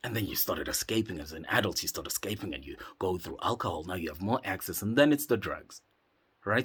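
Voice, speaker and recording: A man's fairly low voice, lively in intonation and fairly quick, on a very clean recording with a silent background. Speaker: psychedelic retreat facilitator. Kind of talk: motivational monologue. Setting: in a cave. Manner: impassioned.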